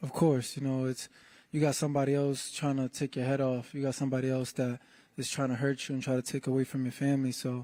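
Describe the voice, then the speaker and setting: A soft-spoken man with an American accent talks very fast at medium pitch with monotone, flat intonation. His tone is dark and mellow, and the recording is very clean with a silent background. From New England, US. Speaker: professional boxer. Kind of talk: press conference interview.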